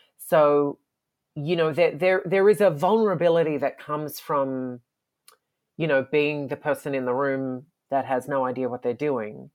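A woman with an Australian accent talks at a moderate pace in a very deep, low pitch. The background is quiet. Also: ordinary pitch variation. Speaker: comic book artist. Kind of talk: interview.

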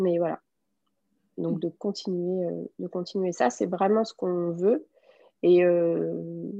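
Against a quiet background, a woman speaks very slowly in a dark, mellow tone. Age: 20s. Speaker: hand-dyed yarn business owner. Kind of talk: interview. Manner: hesitant, many fillers.

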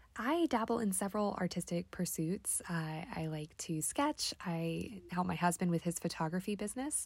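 A woman's medium-pitched, somewhat breathy voice with lively intonation, at a moderate pace with hardly any pauses, on a very clean recording with a silent background. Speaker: medical resident and songwriter. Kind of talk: personal reflection monologue.

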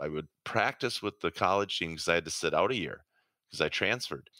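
A man with an Upper Midwest accent has a very deep, low pitch and a bright, sharp tone, captured on a very clean recording with a silent background and a dry, close sound with no echo. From southern Minnesota, Rochester. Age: 50s. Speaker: retired pro ice hockey player. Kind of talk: interview.

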